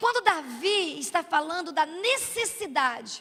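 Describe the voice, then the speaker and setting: A raised, projected voice with a bright, sharp tone moves through very wide pitch swings at a fairly slow pace. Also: woman. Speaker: preacher. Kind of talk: sermon.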